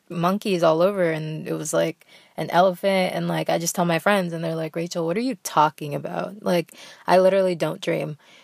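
At a moderate pace, a woman speaks in a fairly low voice with a dry, close sound and no echo. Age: young. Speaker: podcast host. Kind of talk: casual chat. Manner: animated.

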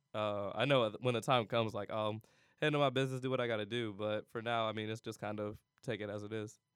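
A man with an American accent talks at a very fast pace. His intonation stays flat and monotone. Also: medium pitch for a man. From Cleveland, Ohio. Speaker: college student. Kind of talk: casual interview.

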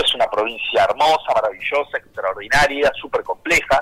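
With an Argentine accent, the speaker keeps a moderate pace in a dry, close sound with no echo. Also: man. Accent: Rioplatense Argentine Spanish. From Argentina, Buenos Aires province. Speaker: politician. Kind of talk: radio interview. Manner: halting, many repetitions.

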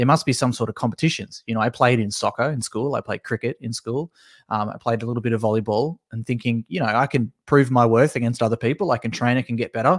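Speaking very fast in an Australian accent, a man with a medium pitch and ordinary pitch variation comes through a very clean recording with a silent background and a dry, close sound with no echo. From Tasmania, Australia. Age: 20s. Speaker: esports consultant. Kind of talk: casual interview.

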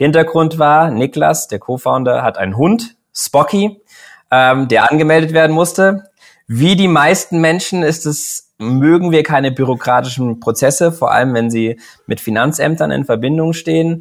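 A man talks at a moderate pace in an ordinary speaking voice. His pitch sits fairly high, and his intonation is lively. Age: 30s. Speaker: startup founder. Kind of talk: interview. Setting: online recording.

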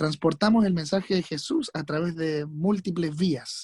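A man's plain, everyday voice, fairly high in pitch, at a moderate pace with ordinary pitch variation, dry and close with no echo on a very clean recording with a silent background. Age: 20s. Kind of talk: casual chat.

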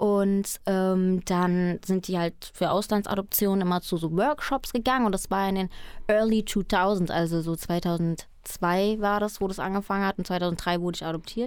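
A woman uses a normal speaking voice at a medium pitch with fairly even intonation. She keeps a moderate pace with hardly any pauses. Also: very clean recording, silent background. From Germany, raised from age four after adoption from Colombia. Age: 20s. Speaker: trainee radio presenter and singer-songwriter. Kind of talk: radio interview.

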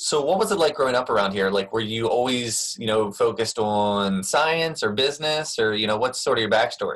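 In a plain, everyday voice, a man speaks at a fairly quick pace and medium pitch, with ordinary pitch variation and very even loudness. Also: hardly any pauses. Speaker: podcast host. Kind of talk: casual interview.

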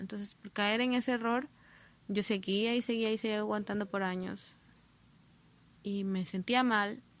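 At a fairly slow pace, a woman of medium pitch keeps her intonation fairly even. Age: 20s. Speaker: podcaster. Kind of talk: personal monologue. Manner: halting.

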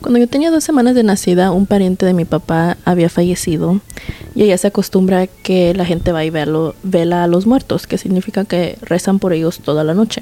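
A woman talks at a fairly quick pace and medium pitch with ordinary pitch variation and very even loudness over noticeable background noise. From Mexico, Guanajuato. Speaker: podcast host. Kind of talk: storytelling. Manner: code-switching Spanglish.

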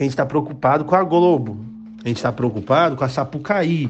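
With audible room echo around him, a man speaks at a fairly quick pace with ordinary pitch variation. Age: 20s. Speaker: pastor. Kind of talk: sermon. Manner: halting.

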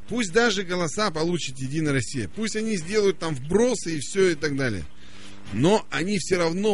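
Very wide pitch swings in a fairly high male voice. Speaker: radio host. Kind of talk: casual chat. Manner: animated.

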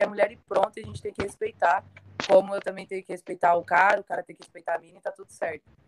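A woman at a medium pitch and a very fast pace, in a dry, close sound with no echo. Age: 20s. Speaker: women's football player. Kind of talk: panel discussion on live stream.

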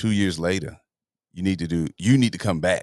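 A man with an American accent speaks at a moderate pace in a very deep, low pitch with ordinary variation. The sound is dry and close with no echo, over a quiet background. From US South, Atlanta, Georgia. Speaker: content creator and podcast host. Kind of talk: casual interview chat. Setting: studio.

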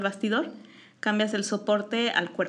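A woman's fairly high voice with a Mexican accent. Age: 40s. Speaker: visual artist and teacher. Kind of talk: casual interview.

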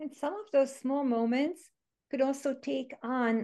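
A woman with a Hungarian accent, ordinary pitch variation and a quiet background. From Hungary. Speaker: education author and former teacher. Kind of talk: casual interview conversation.

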